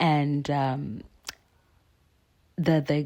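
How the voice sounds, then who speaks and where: In a South African accent, a woman speaks with a very deep, low pitch and a dark, mellow tone. The recording is very clean, with a silent background. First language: isiXhosa. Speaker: artist. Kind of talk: casual talk while painting.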